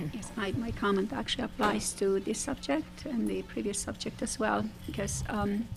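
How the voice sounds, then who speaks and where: A woman with a non-native accent talks at a moderate pace with hardly any pauses. Noticeable background noise runs behind her. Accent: foreign. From former socialist country. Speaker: forum participant. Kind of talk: panel discussion. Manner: hesitant, many fillers.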